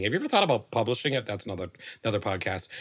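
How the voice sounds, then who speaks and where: The speaker has an animated tone on a very clean recording with a silent background. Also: man. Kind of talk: casual chat. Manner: jokey, animated.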